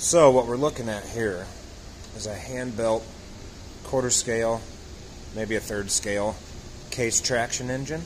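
A man talks at a fairly slow pace with fairly even intonation and long, frequent pauses. Light background noise can be heard. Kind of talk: casual show-and-tell commentary. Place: garage. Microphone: phone near.

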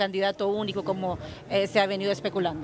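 Clear background noise is present throughout. A woman talks at a mid-range pitch. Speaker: TV reporter. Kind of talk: live report. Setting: on location at an event.

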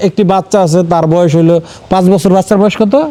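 A man's voice against noticeable background noise. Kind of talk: field report and interview.

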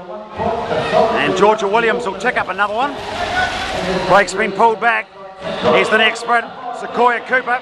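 The speech moves at a moderate pace with long, frequent pauses. Loud background noise runs underneath. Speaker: track cycling commentator. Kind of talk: live race commentary. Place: stadium.

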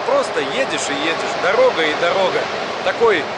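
Loud background noise behind a man's dry voice, no echo at all. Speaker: travel vlogger. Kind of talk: casual vlog chat. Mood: relaxed, reflective. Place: station. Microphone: phone near.

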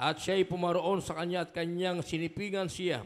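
Against a quiet background, a man speaks at a moderate pace in a high pitch. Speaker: scripture reader. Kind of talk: reading aloud. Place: church. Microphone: handheld.

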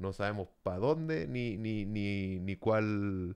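The background remains quiet as a man talks. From El Salvador. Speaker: podcast co-host. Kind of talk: casual chat. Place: home room. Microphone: studio mic.

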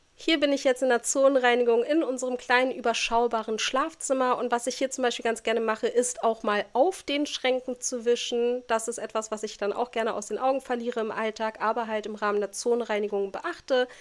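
High-pitched woman with fairly even intonation at a fairly quick pace, on a very clean recording with a silent background. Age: 40s. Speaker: home organisation YouTuber. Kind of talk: tutorial.

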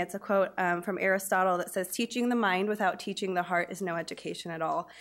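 Against a quiet background, a woman speaks at a very fast pace. Her pitch varies in an ordinary way. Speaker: teacher presenting. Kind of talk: public presentation. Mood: warm, slightly nervous. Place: meeting room. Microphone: podium.

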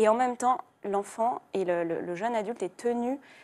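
Here is a woman speaking. Her pitch is fairly high for a woman. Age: 20s. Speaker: young adult novelist; guest. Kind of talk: TV studio interview. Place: studio. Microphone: lapel.

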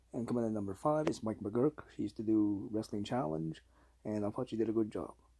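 A man's dark, mellow voice at a fairly quick pace over a quiet background. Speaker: hobby vlogger. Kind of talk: casual talk to camera. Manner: hesitant, halting. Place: home room. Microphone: phone near.

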